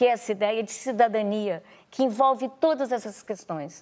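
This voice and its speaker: In a very clean recording with a silent background, a woman speaks at a moderate pace with a fairly high pitch and ordinary pitch variation. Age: 60s. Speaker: actress and director. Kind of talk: TV interview. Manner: halting.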